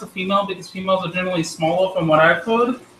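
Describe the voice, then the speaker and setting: High-pitched for a man, this voice races along at a very fast pace. Background noise is noticeable. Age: 20s. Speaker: pet hobbyist youtuber. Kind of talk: live stream tutorial chat. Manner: casual, rambling.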